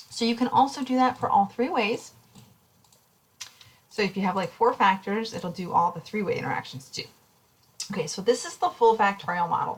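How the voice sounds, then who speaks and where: A woman's fairly high, fairly quick voice with lively intonation, big swings in loudness and long, frequent pauses. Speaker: statistics instructor. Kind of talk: recorded lecture tutorial. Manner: fast; casual, with fillers.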